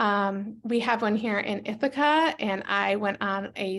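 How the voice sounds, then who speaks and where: A woman's voice in an American accent, with ordinary pitch variation. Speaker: educator presenting a teaching book. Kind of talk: webinar presentation. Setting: online webinar. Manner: fast.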